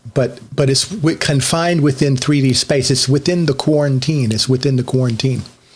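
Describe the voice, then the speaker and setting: A man speaks at a moderate pace with a medium pitch. Noticeable background noise sits behind him. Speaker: online religious teacher. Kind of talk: solo monologue teaching.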